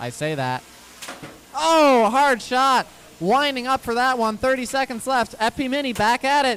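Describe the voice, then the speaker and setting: A man's extremely high-pitched voice, fairly slow, with ordinary pitch variation. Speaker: robot combat commentator. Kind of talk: live commentary. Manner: loud when excited. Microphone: handheld mic, uneven distance, audio issues.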